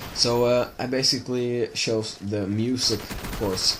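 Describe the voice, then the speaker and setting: With a slight Swedish accent, a man speaks in a monotone, flat intonation amid noticeable background noise. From Sweden. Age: 20s. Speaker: gaming video creator. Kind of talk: casual monologue over gameplay. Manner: halting, many fillers.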